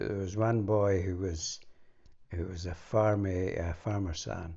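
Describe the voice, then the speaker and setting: A man's very deep, low, somewhat breathy voice in a northeastern Scottish accent, at a fairly slow pace with fairly even intonation. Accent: Scottish, north east. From Morayshire, north east Scotland. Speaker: former spy. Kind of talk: conversational memoir interview.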